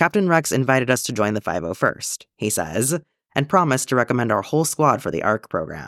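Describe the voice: Against a quiet background, someone reads aloud plainly, the intonation lively.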